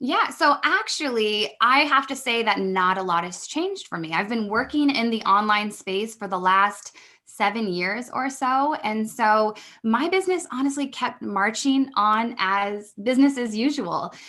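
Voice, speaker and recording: Her voice sits fairly high, and her intonation is lively. This woman talks with hardly any pauses. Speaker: business mentor. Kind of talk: podcast interview. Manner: fast.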